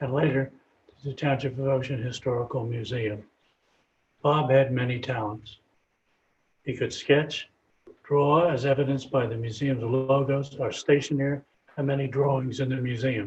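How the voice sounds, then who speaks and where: The voice is somewhat breathy, with monotone, flat intonation. It moves at a moderate pace, broken by long, frequent pauses. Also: man, medium pitch for a man. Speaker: museum president. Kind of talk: memorial tribute speech.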